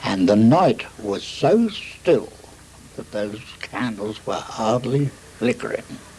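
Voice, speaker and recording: Noticeable background noise sits behind a man with a medium pitch. He talks at a very slow pace with lively intonation. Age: 80s+. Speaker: war veteran. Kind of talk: interview answer.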